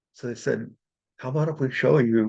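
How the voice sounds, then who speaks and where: With vocal fry and lively intonation, a man speaks at a moderate pace. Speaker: spiritual healer and channeler. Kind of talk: workshop class talk.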